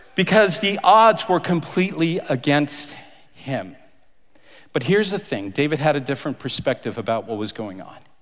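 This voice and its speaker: There is vocal fry in this man's fairly high voice. His pitch swings very widely at a moderate pace. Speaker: pastor. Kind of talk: sermon; dramatic narration, boxing-announcer style. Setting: church. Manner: theatrical, playful, ring-announcer bravado; animated.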